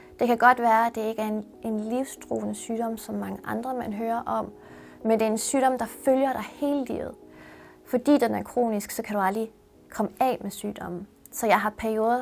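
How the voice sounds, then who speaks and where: A woman talks at a fairly slow pace in a fairly high pitch. Hers is a plain, everyday voice. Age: 30s. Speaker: university student. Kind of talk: personal testimony interview.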